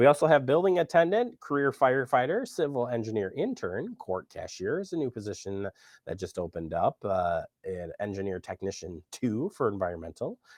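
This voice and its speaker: Against a quiet background, a man talks fairly quickly at medium pitch with vocal fry and very wide pitch swings, the sound dry and close with no echo. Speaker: local TV show host. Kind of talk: casual show hosting.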